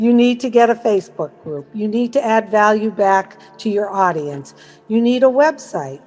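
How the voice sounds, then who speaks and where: With music in the background, a woman speaks in an American accent at a moderate pace, her pitch fairly high and her intonation lively. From US Northeast, Massachusetts. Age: 60s. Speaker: network marketing promoter. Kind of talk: testimony. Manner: casual, conversational.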